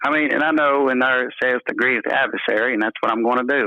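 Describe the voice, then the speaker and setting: Fairly even intonation at a very fast pace, with an American accent. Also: man. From North Carolina. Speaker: caller, evangelist preacher. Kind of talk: advice call, casual chat. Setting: phone call. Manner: halting, repeats words.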